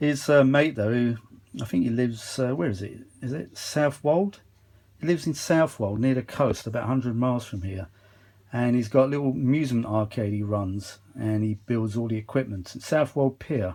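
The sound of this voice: At a moderate pace, a man of medium pitch speaks in a dark, mellow tone with ordinary pitch variation.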